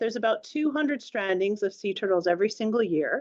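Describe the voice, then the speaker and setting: A woman with a Canadian accent talks in very wide pitch swings. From Canada. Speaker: marine scientist. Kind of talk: public lecture. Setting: talk with live audience. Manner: hesitant, with fillers and restarts.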